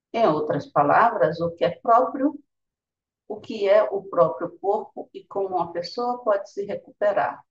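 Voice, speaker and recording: A woman is speaking at a fairly slow pace. Her voice is somewhat breathy. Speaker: meditation teacher. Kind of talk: guided meditation.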